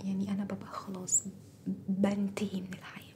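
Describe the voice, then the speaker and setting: A woman speaks with an Egyptian accent. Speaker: ASMR and storytelling YouTuber. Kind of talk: casual vlog talk to viewers. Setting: at home, recording at dawn. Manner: trying to speak softer; animated.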